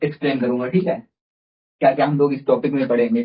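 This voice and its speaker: A somewhat breathy man's voice moves along at a moderate pace. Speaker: teacher. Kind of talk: tutorial. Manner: halting; says 'theek hai' often.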